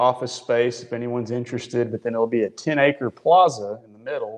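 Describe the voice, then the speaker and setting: In a West Texas accent, a man talks at a fairly quick pace in a medium pitch. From Midland, West Texas. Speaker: drilling superintendent. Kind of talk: casual chat.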